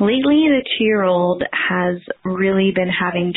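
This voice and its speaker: Speaking at a fairly slow pace, a woman with an American accent has an ordinary speaking voice and a fairly low pitch. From Pennsylvania, Philadelphia area. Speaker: parent caller. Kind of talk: recorded listener question.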